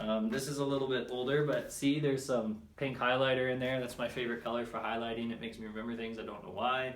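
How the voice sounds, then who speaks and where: The speech rushes along at a very fast pace with fairly even intonation. Audible room echo surrounds it. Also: man. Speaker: personal development vlogger. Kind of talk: casual vlog monologue. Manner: hesitant, many fillers.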